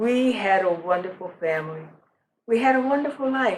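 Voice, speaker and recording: A woman with an American accent, very wide pitch swings and a moderate pace. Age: 80s+. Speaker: storyteller. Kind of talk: storytelling.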